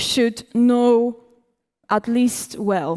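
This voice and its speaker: A woman with a fairly high voice is heard in a dry, close sound with no echo. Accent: Polish. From Poland. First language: Polish. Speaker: cybersecurity conference speaker. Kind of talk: conference talk.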